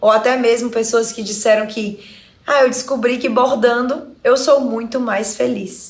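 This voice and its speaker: With a Fortaleza accent, the speaker goes at a fairly slow pace and fairly even intonation. Room echo is audible. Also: woman, high pitch for a woman. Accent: Northeastern Brazilian (Fortaleza). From Brazil, Ceará (Fortaleza). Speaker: psychologist and embroidery teacher. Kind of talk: online lesson.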